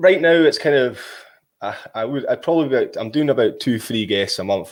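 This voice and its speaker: A man speaks at a fairly quick pace with a Scottish accent. The recording is very clean, with a silent background. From Scotland. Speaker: podcaster, cold water swimming guide. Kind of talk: casual interview chat. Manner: fast.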